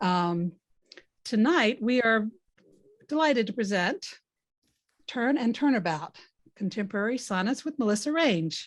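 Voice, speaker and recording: In a very clean recording with a silent background, a woman with a Southern US accent speaks at a moderate pace and fairly high pitch, using lively intonation and long, frequent pauses. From US South. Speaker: contest organizer and event host. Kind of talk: event introduction.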